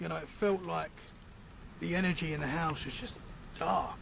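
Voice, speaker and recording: A man with a British accent speaks, and audible room echo surrounds his voice. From Britain. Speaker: paranormal podcaster. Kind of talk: casual chat.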